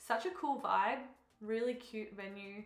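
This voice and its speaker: Moderate pace in an Australian accent, with noticeable background noise and audible room echo. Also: woman. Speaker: fitness coach and bikini competitor vlogger. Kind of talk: vlog voiceover. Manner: casual, chatty.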